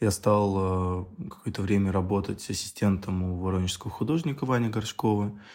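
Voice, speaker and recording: Fairly low in pitch, a man talks with an ordinary speaking voice. His pace is moderate and his pitch variation ordinary. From Russia, Tambov region (Michurinsk). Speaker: artist and curator. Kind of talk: casual interview.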